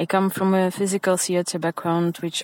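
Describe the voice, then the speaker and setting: The speaker is a woman with a fairly low pitch. Her intonation stays monotone and flat. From Ukraine. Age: 20s. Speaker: listener sending voice message. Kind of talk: recorded voice message.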